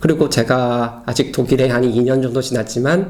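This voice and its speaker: A man talks in a medium pitch. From South Korea. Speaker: Korean expat in Berlin. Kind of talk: casual personal talk to camera. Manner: hesitant, with many fillers.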